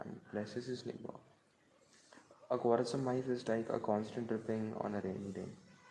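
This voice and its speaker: Flat, monotone intonation at a moderate pace, with noticeable background noise. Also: man. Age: 20s. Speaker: devotional speaker. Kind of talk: reading aloud. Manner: halting.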